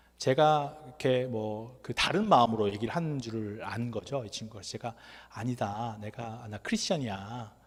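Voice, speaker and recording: Lively intonation marks this man's medium-pitched voice. It is somewhat breathy. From Korea. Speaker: NGO worker and lecturer. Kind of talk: lecture. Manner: conversational.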